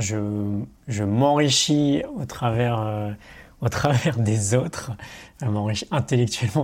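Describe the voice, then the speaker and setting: A man's somewhat breathy voice at medium pitch, very slow in pace, with ordinary pitch variation, on a very clean recording with a silent background. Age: 30s. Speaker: online coach and entrepreneur. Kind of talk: casual interview. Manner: hesitant, with fillers.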